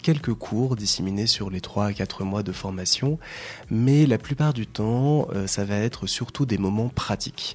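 Here a man uses a normal speaking voice at a fairly slow pace. His pitch shows ordinary variation. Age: 30s. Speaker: radio presenter and volunteer coordinator. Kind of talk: radio interview.

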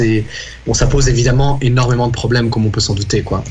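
A man's medium-pitched voice in fairly even intonation, with noticeable background noise. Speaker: student union president. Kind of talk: casual interview.

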